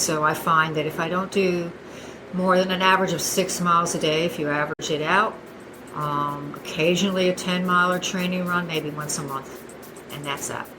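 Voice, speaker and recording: A woman speaks at a moderate pace in a fairly low, monotone voice with flat intonation. Noticeable background noise and audible room echo surround her. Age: 60s. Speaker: masters runner. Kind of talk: casual interview.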